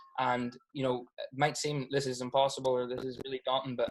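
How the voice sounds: A man talks at a fast pace. His pitch shows little movement.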